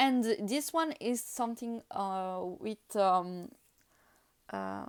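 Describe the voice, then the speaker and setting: A woman talks at a very slow pace. Her voice sits fairly high and her intonation is lively. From France / Italy. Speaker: tarot reader. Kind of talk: casual talk to camera, tarot deck flip-through. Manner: hesitant, many fillers.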